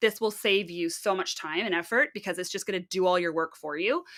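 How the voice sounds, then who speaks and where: A woman with a Canadian accent, an animated tone, and a bright, sharp tone, in a very clean recording with a silent background. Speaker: fiber arts livestreamer, spinner. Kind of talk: live stream tutorial chat.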